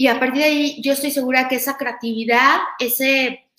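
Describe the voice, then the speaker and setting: With a high pitch and fairly even intonation, the woman keeps a moderate pace. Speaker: podcast host and university lecturer. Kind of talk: talk to students. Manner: halting, many fillers.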